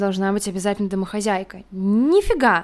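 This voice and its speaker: A woman with an ordinary speaking voice, fairly high in pitch, at a moderate pace. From Russia, Moscow region. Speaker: teacher. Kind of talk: casual chat.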